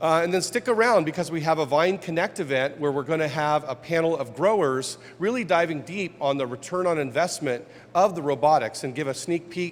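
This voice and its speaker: This is a man with a plain, everyday voice. He talks at a fairly quick pace with ordinary pitch variation. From Ohio, US Midwest. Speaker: innovation officer hosting press conference. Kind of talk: press conference introduction.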